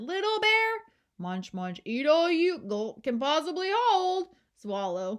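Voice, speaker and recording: Using a put-on character voice, a female-sounding speaker talks fairly slowly at a high pitch with very wide pitch swings. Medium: read story.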